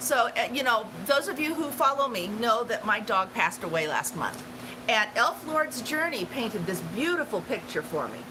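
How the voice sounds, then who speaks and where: Amid noticeable background noise, a woman talks at a moderate pace in a high pitch with very wide pitch swings. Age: 60s. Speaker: travel channel livestream host. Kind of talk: casual livestream chat. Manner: halting, many fillers.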